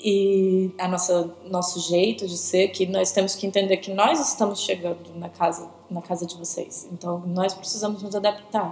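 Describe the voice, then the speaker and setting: With a São Paulo accent, a woman talks at a moderate pace and a medium pitch, her monotone, flat delivery having hardly any pauses over noticeable background noise. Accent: São Paulo Brazilian Portuguese. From Brazil, São Paulo. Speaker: interviewee, church member. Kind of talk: casual interview. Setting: video recording with host beside her.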